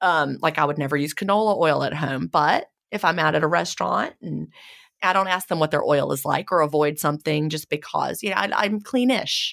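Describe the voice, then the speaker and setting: A woman with a Southern US accent and vocal fry, at a moderate pace with ordinary pitch variation, on a very clean recording with a silent background. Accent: southern American. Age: 50s. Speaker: author and podcast host. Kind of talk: interview conversation.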